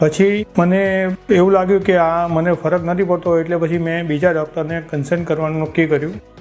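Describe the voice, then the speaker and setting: The speaker delivers a monotone, flat intonation with music playing in the background. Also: man, high pitch for a man. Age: 60s. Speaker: surgery patient. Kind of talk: patient testimonial.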